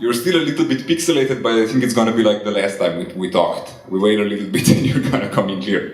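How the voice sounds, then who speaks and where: Over noticeable background noise and audible room echo, a man at medium pitch talks at a very fast pace with lively intonation. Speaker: interviewer, comics artist. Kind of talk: casual interview. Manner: soft-spoken.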